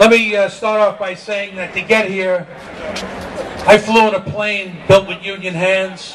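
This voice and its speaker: A man with a New York accent speaks fairly slowly at a high pitch, with big swings in loudness. Noticeable background noise runs under him. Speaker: union leader. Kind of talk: rally speech. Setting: outdoor rally with crowd. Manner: extemporaneous, unscripted; animated.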